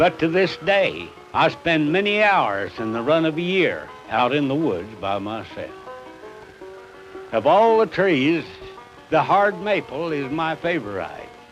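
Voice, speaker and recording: Fairly high-pitched man, fairly slow, with very wide pitch swings, long, frequent pauses and music in the background. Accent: southern Illinois. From southern Illinois. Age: 70s. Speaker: farmer. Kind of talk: documentary reminiscence.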